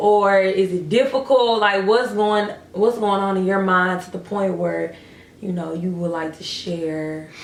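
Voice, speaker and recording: A woman at medium pitch speaks at a fairly slow pace with ordinary pitch variation and big swings in loudness. Noticeable background noise and audible room echo surround her. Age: 20s. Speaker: vlogger. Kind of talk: casual chat.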